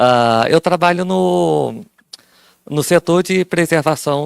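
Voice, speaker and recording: Dry and close with no echo, a man's voice moves through very wide pitch swings. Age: 30s. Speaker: audiovisual archive worker. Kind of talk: self-introduction in workshop.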